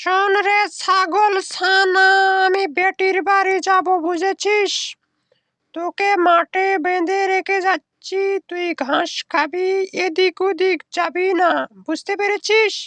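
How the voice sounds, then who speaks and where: A cartoonish character voice, female-sounding and extremely high in pitch, drags along at a very slow pace with monotone, flat intonation. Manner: scolding.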